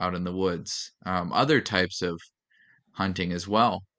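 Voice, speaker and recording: A man with an Upper Midwest accent and a very deep, low pitch, speaking at a fairly slow pace against a quiet background. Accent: Upper Midwest American. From North Dakota, Fargo. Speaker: educator and outdoorsman. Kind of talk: casual interview.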